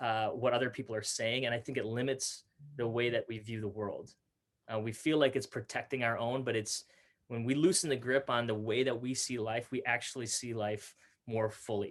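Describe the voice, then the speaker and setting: An ordinary speaking voice from a man, medium in pitch, with an American accent, fairly even intonation and a moderate pace. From Minnesota, US (Fridley). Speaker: youth pastor and speaker. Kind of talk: interview conversation.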